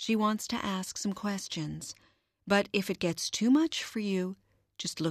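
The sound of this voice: Here is an unforced reading voice with ordinary pitch variation. The background is quiet.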